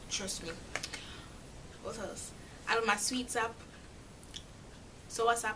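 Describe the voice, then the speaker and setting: With a Jamaican accent, a woman with a fairly high pitch speaks at a moderate pace over noticeable background noise. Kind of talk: casual talk to camera.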